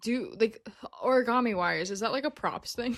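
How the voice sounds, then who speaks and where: A woman speaks with an American accent and a bright, sharp tone. The recording is very clean, with a silent background. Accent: American, noted as funny by co-host. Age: 20s. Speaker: entertainment technician, podcast co-host. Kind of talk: casual chat.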